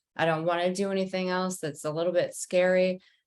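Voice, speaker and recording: An unremarkable speaking voice at a moderate pace. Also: woman. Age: young. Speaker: podcast host. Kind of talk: podcast interview.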